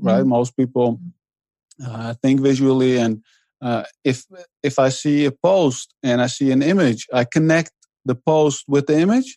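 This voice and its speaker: Speaking fairly slowly with an ordinary amount of pitch variation, a man with a Dutch accent has a medium-pitched, dark, mellow tone in a dry, close recording with no echo. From Netherlands, to Iranian immigrant parents. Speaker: author and blogger. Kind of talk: interview. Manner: hesitant, many fillers.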